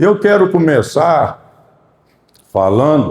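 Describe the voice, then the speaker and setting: This man's voice has a dark, mellow tone. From Brazil, Minas Gerais (Araguari). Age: 60s. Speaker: church testimony speaker. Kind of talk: testimony. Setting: church.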